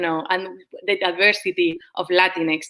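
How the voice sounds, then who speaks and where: A bright, sharp tone marks the woman's voice. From Spain. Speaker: professor. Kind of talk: panel discussion. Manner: hesitant, many fillers.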